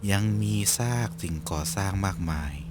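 A man is speaking here. His intonation is lively. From Thailand. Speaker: vtuber. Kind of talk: ghost story narration.

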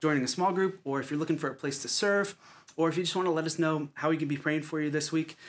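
The man speaks very fast. His pitch rises and falls in an ordinary way. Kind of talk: church announcements. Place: home room.

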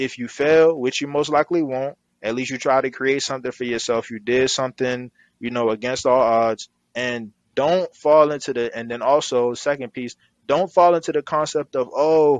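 Recorded dry with no echo over a quiet background, a man with an American accent speaks at a moderate pace with fairly even intonation. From US Mid-Atlantic (Maryland). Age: 20s. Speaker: clothing brand founder and CEO; guest. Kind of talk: casual interview. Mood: earnest, motivational. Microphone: headset.

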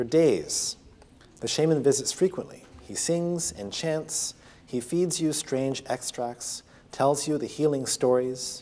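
Very slowly, a man with a Canadian accent speaks in a dark, mellow tone with ordinary pitch variation. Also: fairly high pitch for a man. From Canada, Ontario. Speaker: physician and author. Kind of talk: lecture; storytelling. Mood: calm storytelling. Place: classroom.

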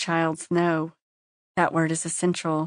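A woman speaks with a solemn tone at a fairly low pitch and a moderate pace, in a monotone, flat intonation. The sound is dry and close with no echo, over a quiet background. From Kentucky Appalachia. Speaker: audiobook narrator, memoir author. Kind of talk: memoir audiobook narration, reflective first-person reading. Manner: measured, solemn, reflective.

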